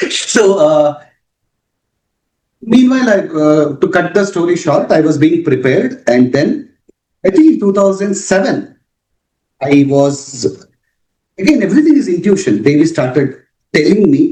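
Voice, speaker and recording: In a Karnataka accent, the speaker has a dark, mellow tone, very wide pitch swings, and very even loudness. The pace is fairly slow, with long, frequent pauses. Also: man, high pitch for a man. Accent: Indian English, Kannada. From India, Bangalore. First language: Kannada. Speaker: author on spirituality. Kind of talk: interview.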